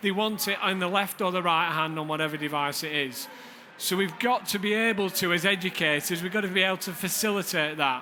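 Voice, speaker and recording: In a room with audible echo and noticeable background noise, a man with a northern English accent speaks at a fairly quick pace and a high pitch with ordinary pitch variation. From Lancashire, northern England. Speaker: deputy head teacher. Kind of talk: conference presentation. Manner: hesitant fillers.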